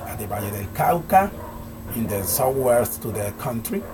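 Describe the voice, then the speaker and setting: Speaking with a Colombian accent, a man talks at a fairly quick pace with medium pitch and ordinary pitch variation, amid noticeable background noise and audible room echo. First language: Spanish. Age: 40s. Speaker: language student. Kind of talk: homework speaking presentation. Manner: halting.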